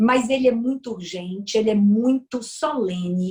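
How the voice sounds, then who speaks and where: In a strong Bahian accent, a woman speaks very slowly in a somewhat breathy voice with ordinary pitch variation. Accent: strong Bahian northeastern Brazilian. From Brazil, Bahia. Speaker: lawyer and politician. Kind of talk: interview.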